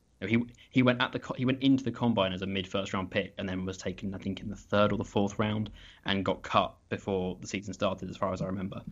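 A man with a British accent and a fairly low pitch talks very fast with fairly even intonation and hardly any pauses. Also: quiet background. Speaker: football draft analyst. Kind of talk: casual chat. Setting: remote call over internet.

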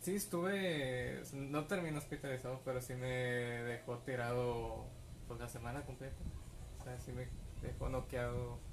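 Audible room echo around a man talking fairly slowly. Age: 30s. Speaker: novelist and poet. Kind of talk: casual chat. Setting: at home.

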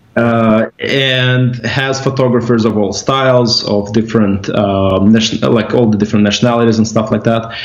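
Over noticeable background noise, a man with a Russian accent talks at a moderate pace and medium pitch, with hardly any pauses, monotone, flat intonation and very even loudness. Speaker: company executive. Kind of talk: casual interview over drinks. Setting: video call.

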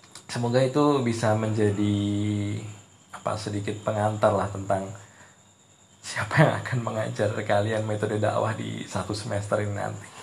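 A man talks with fairly even intonation. Audible room echo and noticeable background noise surround him. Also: moderate pace. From Indonesia, Ponorogo, East Java. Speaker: university lecturer. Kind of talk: lecture. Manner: hesitant, many fillers.

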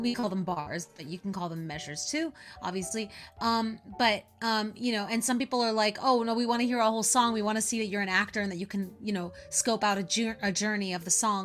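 A woman with a Californian accent speaks at a fairly quick pace. Her fairly high pitch shows ordinary variation. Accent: Californian American. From Northern California. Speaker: musical theatre actress and singer. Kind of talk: interview. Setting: remote call.

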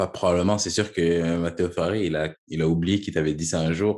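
A very deep, low male voice comes across on a very clean recording, the background silent. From Quebec. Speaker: podcast host, former academy footballer. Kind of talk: casual interview.

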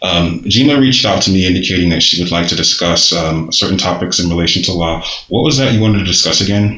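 A man talks at a very fast pace in a very deep, low voice. Audible room echo and noticeable background noise are present. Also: ordinary pitch variation, very even loudness. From Nigerian American. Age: 30s. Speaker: podcast host. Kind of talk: casual interview. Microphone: muffled by face mask.

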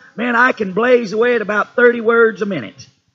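A man with a Southern US accent, an extremely high pitch and a raised, projected voice at a moderate pace. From Tennessee. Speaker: preacher. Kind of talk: sermon. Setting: church.

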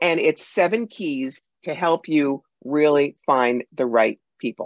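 A woman with an American accent and a fairly low pitch uses lively intonation, recorded with a dry, close sound and no echo. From New York. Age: 60s. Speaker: psychic medium and author. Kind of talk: interview. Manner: fast talker.

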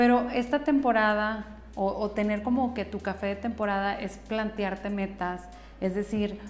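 A woman at a fairly slow pace, with fairly even intonation. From northern Mexico. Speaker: psychotherapist and podcast host. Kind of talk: solo podcast monologue.

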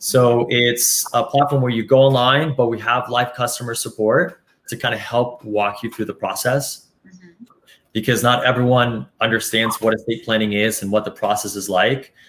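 This is a man with an ordinary speaking voice and medium pitch. He keeps a moderate pace and fairly even intonation. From Colombia, moved to US at 12. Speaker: estate planning company representative, former banker. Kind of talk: interview. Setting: live stream.

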